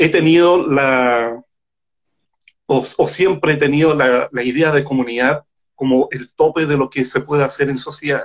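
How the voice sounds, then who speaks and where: This is an ordinary speaking voice, moving at a moderate pace. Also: man. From Chile. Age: 50s. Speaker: science fiction writer. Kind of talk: casual interview.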